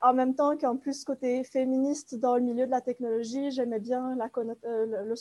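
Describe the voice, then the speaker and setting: A woman with a high-pitched, dark, mellow voice speaks at a moderate pace with fairly even intonation in a very clean recording with a silent background. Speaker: master's student in art history. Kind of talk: academic podcast discussion.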